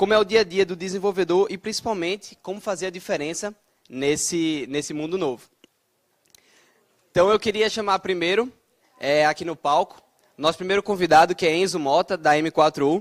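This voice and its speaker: A man with a northeastern Brazilian accent talks in a high voice with ordinary pitch variation. He keeps a moderate pace but leaves long, frequent pauses. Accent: noticeable northeastern Brazilian. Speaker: debate moderator, software developer. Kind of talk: moderating a panel debate. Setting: stage with audience.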